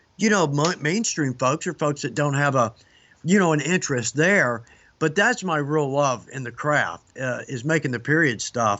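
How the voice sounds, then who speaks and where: Using lively intonation, a man speaks at a fairly high pitch and a moderate pace. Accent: Southern US. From US South, Georgia (Atlanta). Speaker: leathercraft instructor. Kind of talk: casual interview chat.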